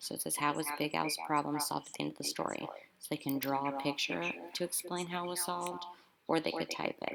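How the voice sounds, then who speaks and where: Her words come at a very fast pace. The woman is heard over noticeable background noise. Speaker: elementary school teacher. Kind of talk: tutorial. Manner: animated.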